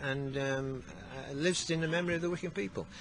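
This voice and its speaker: The speech moves at a fairly quick pace. The sound is dry with no echo, with light background noise. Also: man. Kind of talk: interview answer. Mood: fond, dry humour. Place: street.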